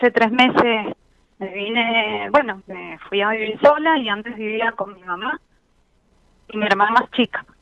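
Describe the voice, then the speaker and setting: A woman's fairly high voice at a fairly slow pace, with ordinary pitch variation and big swings in loudness. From Mendoza, Argentina. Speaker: caller. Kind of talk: emotional testimony to a host on a call-in show. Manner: nervous, halting.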